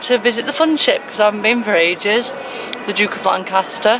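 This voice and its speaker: A woman talking very fast, her pitch moving in an ordinary way, the sound dry with no echo and noticeable noise behind her. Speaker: vlogger. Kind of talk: casual vlog chat. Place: car. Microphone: phone near.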